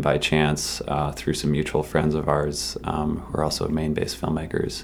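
Speaking at a moderate pace, a man with an American accent has a very deep, low pitch. The room echo is audible, and there is noticeable background noise. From Massachusetts. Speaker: film festival staff. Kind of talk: interview.

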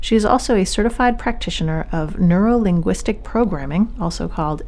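Noticeable background noise sits behind a woman with a medium pitch. She talks at a moderate pace with lively intonation. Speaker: radio host and family physician. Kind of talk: interview. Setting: studio.

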